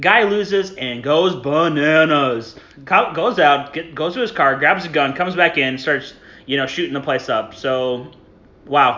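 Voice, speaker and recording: In a normal speaking voice, a man talks fairly slowly at a fairly high pitch with lively intonation. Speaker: podcast host. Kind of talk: casual chat.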